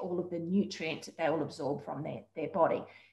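A woman speaks in an Australian accent, somewhat breathy, with ordinary pitch variation. The background is quiet, though room echo is audible. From Queensland, Australia. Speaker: dietitian. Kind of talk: interview. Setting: video call. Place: home room. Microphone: video call.

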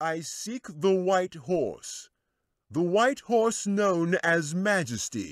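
A loud, put-on character voice from a man, high-pitched and very slow, on a very clean recording with a silent background. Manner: calling out, loud.

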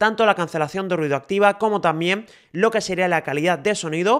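Fairly quick speech is captured in a very clean recording with a silent background. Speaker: tech reviewer. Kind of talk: product review. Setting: outdoors.

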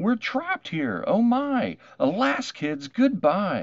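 In a high put-on character voice, a man talks at a slow pace with very wide pitch swings.

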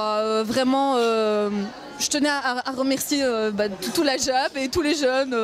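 A woman speaks in a high voice with ordinary pitch variation. The sound is dry with no echo, with light background noise behind her. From Brussels, Belgium. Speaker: university student; event guest or organizer thanking hosts. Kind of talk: casual interview. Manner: halting, many fillers. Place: hall. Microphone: handheld.

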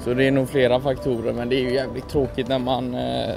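A man's monotone, flat delivery, dry with no echo, over music in the background. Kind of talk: casual vlog chat. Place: street. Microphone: phone near.

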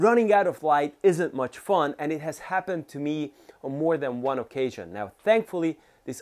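A man is talking. His pace is moderate, and the background stays quiet. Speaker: cycling channel host. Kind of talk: tutorial. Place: home room. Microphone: lapel.

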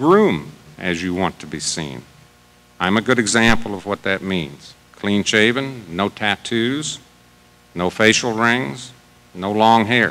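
A man with an American accent speaks very slowly at a fairly low pitch, his intonation lively. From US Midwest. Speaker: business executive. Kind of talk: prepared speech read aloud. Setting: stage with audience.

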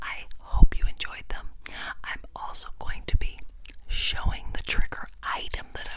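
A woman is whispering at a moderate pace, with noticeable background noise. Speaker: ASMR creator. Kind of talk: ASMR whispered trigger words. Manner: crisp close-mic whisper. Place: home room. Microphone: lapel.

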